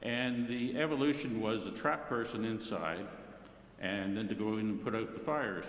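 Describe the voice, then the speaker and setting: A man of medium pitch with a Canadian accent, fairly even intonation and a moderate pace, amid noticeable background noise and audible room echo. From Ontario, Canada (Brampton area). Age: 70s. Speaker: retired firefighter, club member. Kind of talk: personal life-story talk to club meeting. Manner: casual, halting with fillers.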